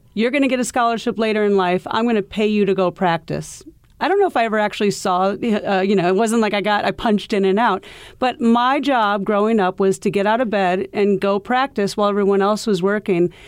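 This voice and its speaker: A woman with a normal speaking voice in an American accent, medium pitch and fairly quick pace, with fairly even intonation, very even loudness, and a very clean recording against a silent background. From US Midwest (Iowa). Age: 50s. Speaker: golf professional. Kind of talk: interview. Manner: casual, with many fillers.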